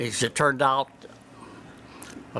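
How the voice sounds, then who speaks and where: Speaking at a moderate pace, a man keeps a monotone, flat intonation. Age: 90s. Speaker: retired navy pilot. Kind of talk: interview storytelling. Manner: halting.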